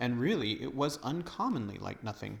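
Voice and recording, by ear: Lively intonation in natural-voiced reading aloud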